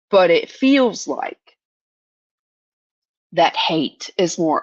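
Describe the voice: A woman's low-pitched voice with lively intonation and a dry, close sound with no echo.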